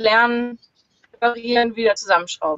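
The woman's voice is high-pitched with ordinary pitch variation. She keeps a moderate pace. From northern Germany, Lüneburg near Hamburg. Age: 30s. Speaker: solo sailor. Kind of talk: interview. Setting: video call from sailboat in marina. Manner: hesitant, many fillers.

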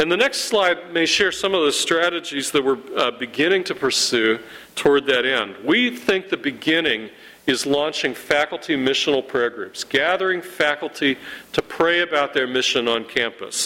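With lively intonation and a fairly high pitch, a man talks at a moderate pace in a plain, everyday voice. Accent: American. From Ohio, Youngstown area. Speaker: campus ministry leader. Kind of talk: church presentation with slides. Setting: church.

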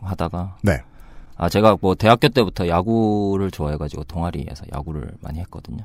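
A man's very deep, low voice with ordinary pitch variation at a moderate pace, on a very clean recording with a silent background. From Busan. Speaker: labor union chairman, software developer at an IT company.

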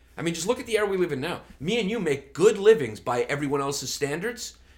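Racing at a very fast pace, a man with a New York accent and fairly high pitch makes very wide pitch swings. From Brooklyn, New York. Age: 40s. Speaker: comedian. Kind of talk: casual chat.

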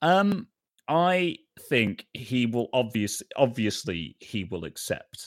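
In a British accent, a man speaks at a very slow pace with very wide pitch swings, the sound dry and close with no echo and the recording very clean against a silent background. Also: medium pitch for a man. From Britain. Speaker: video producer and streamer. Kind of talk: role-playing game session. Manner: animated.

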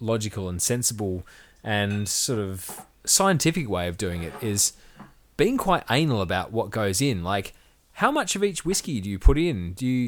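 A man with a plain, everyday voice and fairly low pitch talks at a moderate pace with lively intonation, in a very clean recording with a silent background. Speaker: podcast host. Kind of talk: casual banter over drinks. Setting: indoors in chairs, with whiskey.

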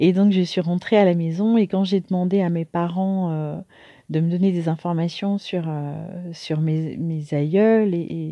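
Very slowly, a woman speaks at a fairly low pitch. Her tone is dark and mellow, over a quiet background. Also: fairly even intonation. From France, Paris (Martinican family). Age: 50s. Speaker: coach and motivational speaker. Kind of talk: monologue pitch to audience. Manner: hesitant with filler words.

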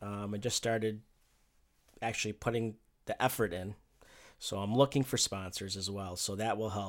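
A man with an American accent speaks with fairly even intonation. He leaves long, frequent pauses, and the recording is very clean with a silent background. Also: fairly low pitch for a man, moderate pace. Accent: doesn't sound like he's from New York. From upstate New York (Rochester). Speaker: sports and event photographer, media business owner. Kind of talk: casual interview chat. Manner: halting, many fillers.

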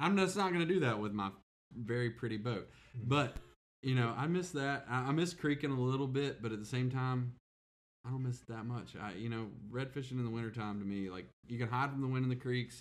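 A man of medium pitch with an American accent speaks at a fairly quick pace with ordinary pitch variation. His is an unremarkable speaking voice. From US South. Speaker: podcast co-host. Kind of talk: casual chat.

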